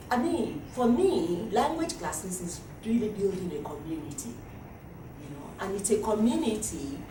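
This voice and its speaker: A woman with a Nigerian accent speaks at a fairly slow pace with very wide pitch swings, amid noticeable background noise and audible room echo. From Nigeria (Yoruba). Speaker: language teaching director. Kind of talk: workshop presentation. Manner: animated.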